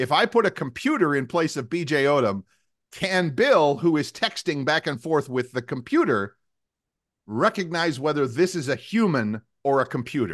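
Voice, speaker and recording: A man talks in an unremarkable speaking voice, fairly high in pitch, with lively intonation. His pace is moderate and the background is quiet. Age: 60s. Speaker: podcast co-host, former radio host. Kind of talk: casual chat.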